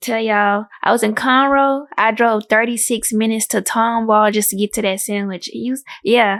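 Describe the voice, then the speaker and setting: On a very clean recording with a silent background, a woman with a Houston accent speaks at a moderate pace, her pitch fairly high and her intonation fairly even. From Houston, Texas. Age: 20s. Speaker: guest interviewee. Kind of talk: casual chat.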